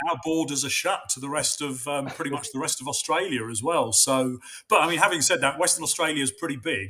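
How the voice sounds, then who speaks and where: A man with a London accent talks very fast at a fairly high pitch. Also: ordinary pitch variation. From London, England. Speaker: runner. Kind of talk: casual chat. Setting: video call.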